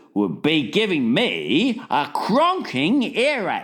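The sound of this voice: The reading is done in an unforced voice.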